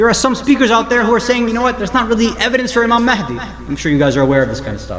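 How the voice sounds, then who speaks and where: In a New Jersey accent, a man speaks very fast in an animated tone, with audible room echo and noticeable background noise. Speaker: Islamic scholar and speaker. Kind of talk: religious lecture. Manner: animated, conversational.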